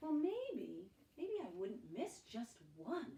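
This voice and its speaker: She speaks very slowly. The woman's put-on character voice is pitched high. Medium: read story.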